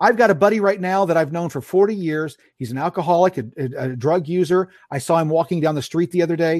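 Lively intonation runs through this man's speech. His pace is very fast. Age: 50s. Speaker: podcaster and commentator. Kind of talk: casual chat. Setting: video call.

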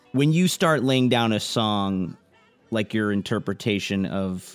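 Over music in the background, a man talks at a very slow pace with ordinary pitch variation. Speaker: podcast interviewer. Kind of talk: interview.

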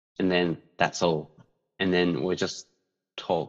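In a Japanese accent, a man speaks fairly slowly with a very deep, low pitch. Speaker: podcaster. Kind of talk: casual chat. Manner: hesitant, many fillers.

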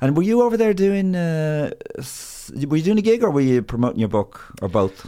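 With an Irish accent, a man talks at a moderate pace. His fairly high voice swings very widely in pitch. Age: 50s. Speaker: comedian and podcast host. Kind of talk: casual chat.

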